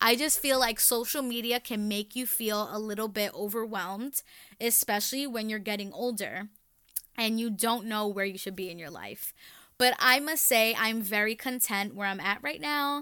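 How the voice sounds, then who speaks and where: Loud and animated, a woman with an American accent speaks at a moderate pace in a fairly high pitch, her tone bright and sharp. Her pitch varies in an ordinary way, and the recording is very clean with a silent background. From New York City, the Bronx. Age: 20s. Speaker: podcast host. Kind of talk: casual monologue.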